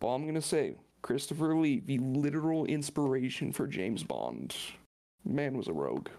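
A man speaks with a dark, mellow tone at a fairly high pitch. His pitch varies in an ordinary way, at a moderate pace. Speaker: podcast co-host. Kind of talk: casual chat.

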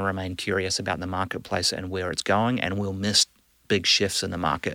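Recorded very cleanly against a silent background, a man with a bright, sharp tone and fairly low pitch speaks at a moderate pace in a monotone, flat manner. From New Zealand. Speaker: business executive. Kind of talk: casual interview. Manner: hesitant, filler-heavy.

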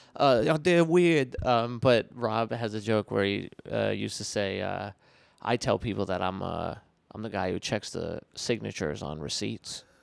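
Vocal fry and lively intonation on a very clean recording with a silent background. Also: man, fairly low pitch for a man, moderate pace. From Rhode Island, rural small town. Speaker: comedian. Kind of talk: casual chat.

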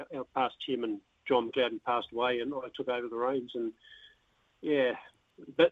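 In a New Zealand accent, a man of medium pitch speaks at a moderate pace in a flat monotone, with long, frequent pauses. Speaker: darts association president. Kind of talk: radio interview. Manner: halting.

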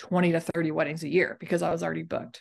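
A woman speaks with an American accent. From Texas, Dallas. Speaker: cactus nursery owner and photographer. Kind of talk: casual chat.

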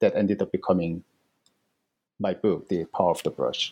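This man speaks with a Korean accent and a dark, mellow tone. The sound is dry and close, with no echo. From South Korea. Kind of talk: interview. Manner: halting, many fillers.

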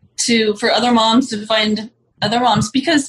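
This is a woman with a normal speaking voice and a fairly high pitch. She talks at a moderate pace with ordinary pitch variation. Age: 40s. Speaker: cannabis mom community organizer. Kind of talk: casual chat.

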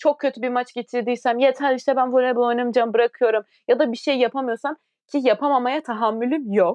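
The speech moves at a fairly quick pace, with fairly even intonation and very even loudness. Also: woman, high pitch for a woman. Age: 20s. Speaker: podcast co-host, professional volleyball player. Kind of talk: casual chat.

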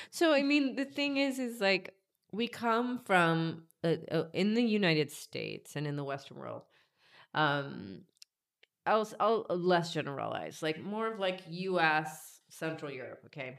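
A woman with an American accent speaks at a fairly slow pace in a fairly low pitch, her voice swinging very widely up and down. The recording is very clean, with a silent background. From US South, Georgia. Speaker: life coach and healer. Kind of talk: interview, casual chat.

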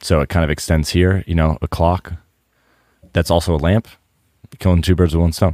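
A man's dark, mellow tone at a fairly quick pace, with long, frequent pauses and very even loudness, on a very clean recording with a silent background. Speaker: podcast co-host. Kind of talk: casual chat. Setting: home garage.

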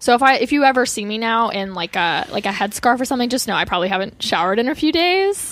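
A woman's fairly high voice with an American accent, very wide pitch swings and hardly any pauses. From US West Coast, Orange County, Southern California. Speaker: comedian. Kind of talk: casual chat. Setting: studio.

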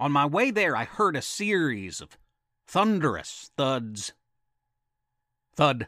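A man puts on a character voice with a bright, sharp tone, pitched fairly high. He speaks at a slow pace with big pitch swings. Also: very clean recording, silent background.

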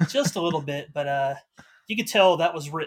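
At a fairly quick pace, a man speaks in a somewhat breathy voice with fairly even intonation. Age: 30s. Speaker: podcast listener and patron. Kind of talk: casual chat.

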